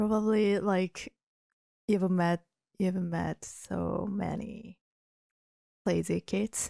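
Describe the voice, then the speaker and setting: A woman with a Japanese accent, dark, mellow tone and monotone, flat intonation, at a very slow pace with long, frequent pauses, in a dry, close sound with no echo. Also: medium pitch for a woman. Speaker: podcast host. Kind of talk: casual chat.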